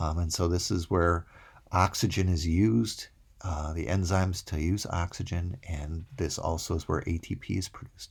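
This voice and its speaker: Somewhat breathy speech comes at a moderate pace with fairly even intonation in a very clean recording with a silent background. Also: man, very deep, low pitch for a man. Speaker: college microbiology instructor. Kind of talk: recorded lecture. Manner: hesitant fillers (uh, um).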